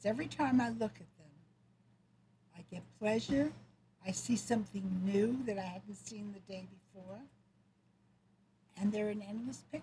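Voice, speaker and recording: A woman speaks at a moderate pace with a medium pitch, ordinary pitch variation, a dark, mellow and somewhat breathy tone, big swings in loudness, and long, frequent pauses. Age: 80s+. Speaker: mother, grandmother and great grandmother. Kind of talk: interview answer.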